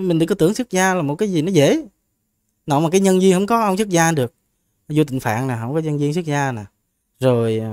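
In a very clean recording with a silent background, a man with a fairly high voice talks very fast but leaves long, frequent pauses. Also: lively intonation. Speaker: Buddhist monk. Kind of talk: Buddhist Q&A teaching.

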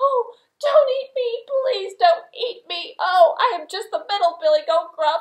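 This is a woman doing a cartoonish character voice at an extremely high pitch. She talks at a moderate pace. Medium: puppet.

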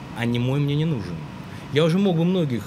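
Over noticeable background noise, a man talks at a fairly quick pace with lively intonation. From Russia, Greek heritage. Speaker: actor and film director; actor. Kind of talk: interview. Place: studio. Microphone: studio mic.

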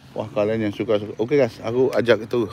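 The tone here is animated. A man delivers his words at a very fast pace. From Indonesia, Surabaya. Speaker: vlogger. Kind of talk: live stream walking tour.

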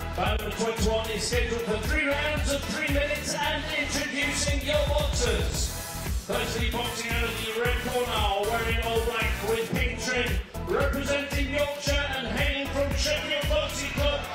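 Loud music plays in the background. Audible room echo surrounds the speech. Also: man, moderate pace. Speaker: boxing ring announcer. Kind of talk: boxing ring announcer introducing fighters and reading scorecards. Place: hall.

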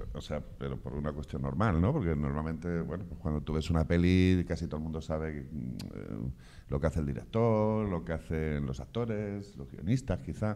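A man with a very deep, low pitch and a dark, mellow tone talks at a moderate pace with lively intonation and hardly any pauses. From Castilla-La Mancha, Spain. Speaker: film director and course coordinator. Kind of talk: information session interview. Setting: in front of camera with live and online audience. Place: studio. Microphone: handheld.

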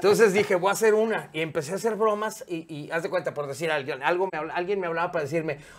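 A man talks with a Mexican accent. His pace is very fast. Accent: Mexican Spanish (Jalisco). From Mexico, Guadalajara; Jalisco, Mexico. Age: 50s. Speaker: radio and TV presenter; interview guest, radio host. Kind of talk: casual interview chat; interview answer. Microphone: lapel.

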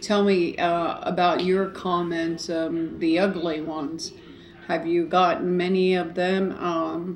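Over light background noise, a woman speaks very slowly in a flat monotone at a fairly low pitch. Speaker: eating show vlogger. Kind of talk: casual vlog chat. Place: home room. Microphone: camera far.

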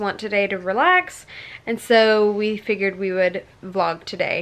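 Ordinary pitch variation in a woman's speech. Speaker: family vlogger. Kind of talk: casual vlog chat. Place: home room. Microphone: phone near.

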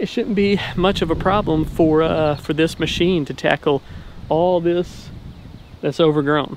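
Noticeable background noise runs under a dry sound with no echo. A man talks at a fairly slow pace. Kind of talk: casual vlog chat. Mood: upbeat, friendly. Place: open country. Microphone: phone near.

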